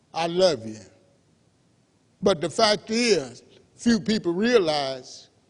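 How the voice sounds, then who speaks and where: A man's high voice at a very slow pace, with long, frequent pauses, very wide pitch swings and big swings in loudness. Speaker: pastor. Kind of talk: church sermon.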